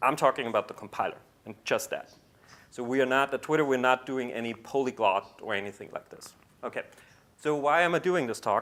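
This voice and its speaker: Fairly quick talk from a man in an ordinary speaking voice, medium-pitched with ordinary pitch variation. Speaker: compiler engineer, conference speaker. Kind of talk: conference talk.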